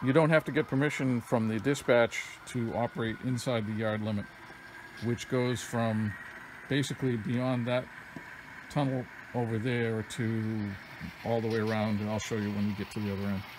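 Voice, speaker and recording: A man at a moderate pace, with long, frequent pauses, fairly even intonation and noticeable background noise. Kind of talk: tutorial. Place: home room. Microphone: phone near.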